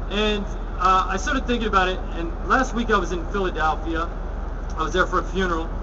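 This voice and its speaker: Noticeable background noise sits under the recording. Over it, a man speaks fairly quickly. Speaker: public speaker. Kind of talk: speech. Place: street. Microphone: podium.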